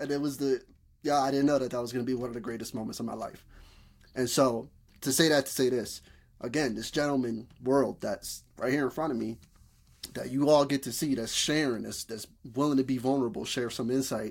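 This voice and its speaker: A man with a northeastern US accent speaks in a fairly even intonation, recorded very cleanly against a silent background. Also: medium pitch for a man, fairly quick pace. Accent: urban northeastern US. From Bridgeport, Connecticut. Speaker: podcast host. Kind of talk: casual conversation.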